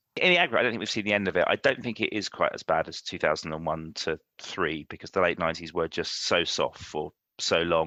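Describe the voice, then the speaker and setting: In a London accent, a man talks very fast, and the sound is dry and close with no echo. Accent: London accent, noticeable. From London, England. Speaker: insurance executive. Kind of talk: podcast interview. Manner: measured, thoughtful with some hesitations.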